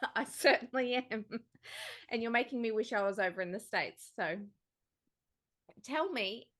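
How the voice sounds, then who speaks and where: With an Australian accent, a woman speaks at a fairly high pitch, using lively intonation and long, frequent pauses. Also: moderate pace. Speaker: podcast host. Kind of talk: interview.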